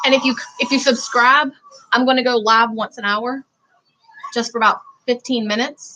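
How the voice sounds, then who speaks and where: In a Southern US accent, a woman talks at a high pitch with ordinary pitch variation. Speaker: vlogger. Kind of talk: livestream commentary.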